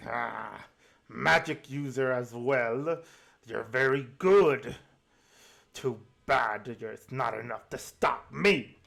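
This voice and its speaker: This man puts on a menacing, growling character voice at medium pitch with ordinary pitch variation. He talks very slowly, with long, frequent pauses and big swings in loudness. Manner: growling, menacing.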